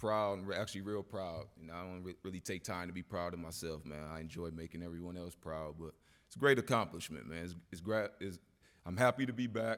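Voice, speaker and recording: A man's very deep, low voice at a very fast pace, with ordinary pitch variation, on a very clean recording with a silent background. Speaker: hall of fame inductee, former football player. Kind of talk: acceptance speech. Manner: halting, off the cuff.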